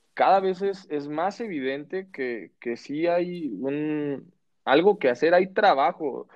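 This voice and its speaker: A man with a Mexican accent talks at a very slow pace. His voice sits fairly high and his intonation is lively. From Mexico. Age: 30s. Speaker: podcast host. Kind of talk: casual chat.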